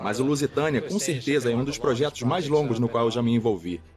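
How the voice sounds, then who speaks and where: Noticeable background noise is present. Over it, a man speaks at a very fast pace. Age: 80s+. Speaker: businessman, shipwreck owner. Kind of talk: documentary interview.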